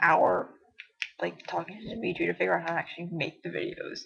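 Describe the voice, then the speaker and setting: A woman mumbling at a very fast pace. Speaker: online roleplay writer. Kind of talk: casual vlog monologue. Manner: mumbles a bit; long awkward pauses.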